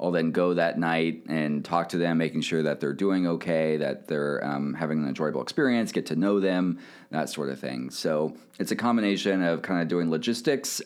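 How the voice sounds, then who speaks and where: Very clean and silent in the background, this recording features a man with an American accent. His pitch is very deep and low, his pace moderate, and his pitch variation ordinary. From Kansas City, US Midwest. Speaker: sports team sponsorship manager. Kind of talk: casual interview.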